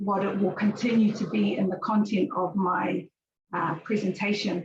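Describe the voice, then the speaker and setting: Taking a fairly slow pace, a woman talks at a medium pitch. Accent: New Zealand. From New Zealand. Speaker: university outreach officer and researcher. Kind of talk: conference presentation. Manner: hesitant, many fillers.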